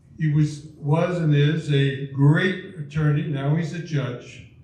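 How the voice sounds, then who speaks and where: A fairly high-pitched male voice in a flat monotone, with audible echo from the room. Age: 80s+. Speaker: lawyer. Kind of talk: speaker introduction.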